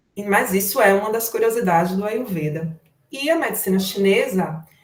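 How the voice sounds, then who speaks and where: Somewhat breathy in tone, this voice carries lively intonation. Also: woman. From Brazil, Salvador (Bahia). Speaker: therapist in Ayurveda and Chinese medicine. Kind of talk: online lecture. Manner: informal, conversational.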